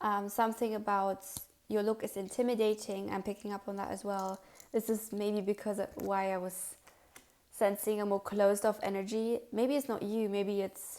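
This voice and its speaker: A woman of medium pitch with a dark, mellow tone, at a moderate pace. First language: not English. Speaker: tarot card reader. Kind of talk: pick a card tarot reading. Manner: casual, with fillers and self-corrections.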